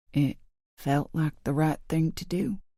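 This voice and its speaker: The speaker uses a put-on character voice, raspy and soft-spoken. It sits at a middle pitch and moves at a fairly slow pace. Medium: read story. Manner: murmuring, quiet.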